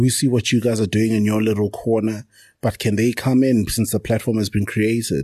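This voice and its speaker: A man talks at a fairly quick pace with a medium pitch and a dark, mellow tone that is somewhat breathy. His intonation stays fairly even and his loudness very even. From South Africa. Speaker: township entrepreneur and podcaster. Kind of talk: casual interview chat.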